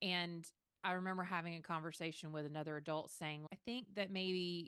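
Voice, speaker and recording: A woman's fairly low voice with a Southern US accent, bright and sharp in tone, at a moderate pace with fairly even intonation. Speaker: podcast co-host, social worker. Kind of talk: podcast discussion.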